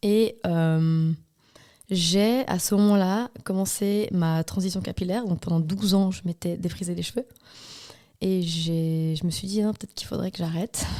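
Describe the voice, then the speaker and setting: A woman's dark, mellow, medium-pitched voice at a fairly slow pace with fairly even intonation. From Switzerland, Valais. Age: 30s. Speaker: hairdresser and salon owner. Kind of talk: podcast interview.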